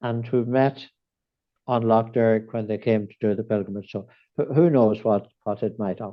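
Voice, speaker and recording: A man with a Northern Irish accent and fairly even intonation. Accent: Northern Irish (Fermanagh). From Ireland, County Fermanagh. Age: 70s. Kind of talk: podcast interview. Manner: hesitant, many repetitions and fillers.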